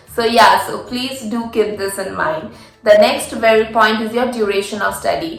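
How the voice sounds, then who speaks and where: A woman with an Indian accent speaks at a moderate pace, her pitch fairly high. Background noise is noticeable. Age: 20s. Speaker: international master's student. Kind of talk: casual talk to camera.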